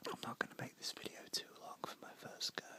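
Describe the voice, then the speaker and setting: A man whispering over noticeable background noise. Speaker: ASMR creator. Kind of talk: ASMR whisper ramble. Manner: whispered.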